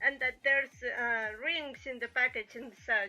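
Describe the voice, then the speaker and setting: Over music in the background, a woman with a Spanish accent uses a raised, projected voice at a high pitch and a fairly slow pace. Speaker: streamer and illustrator. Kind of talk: casual chat. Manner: halting.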